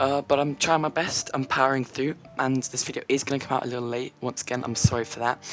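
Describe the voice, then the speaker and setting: Very fast speech comes through noticeable background noise. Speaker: gaming YouTuber. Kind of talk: casual gameplay commentary. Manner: casual, filler-heavy. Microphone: slightly worse mic than usual.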